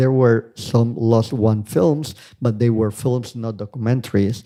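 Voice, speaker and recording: Spoken with a non-native accent, the voice has a dark, mellow tone. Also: man. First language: not English. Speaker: conference speaker, researcher. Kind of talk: academic conference talk. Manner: hesitant, with fillers.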